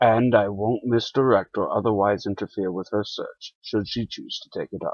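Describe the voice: Resonant put-on character voice from a medium-pitched man at a moderate pace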